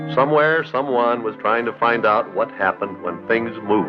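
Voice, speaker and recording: Music plays in the background as a man speaks. His pitch is medium, with ordinary variation. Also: moderate pace. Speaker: television host. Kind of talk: educational television narration.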